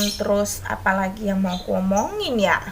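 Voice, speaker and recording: A woman at a medium pitch and fairly slow pace, with noticeable background noise. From Indonesia, Manado then Kalimantan. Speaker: vlogger and kindergarten teacher. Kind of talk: casual chat vlog. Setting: at home folding laundry.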